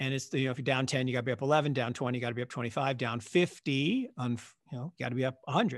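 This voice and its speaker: Against a quiet background, a man with an American accent speaks at a very fast pace with fairly even intonation. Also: medium pitch for a man. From US Pacific Northwest, Seattle. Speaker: investment fund manager. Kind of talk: interview conversation.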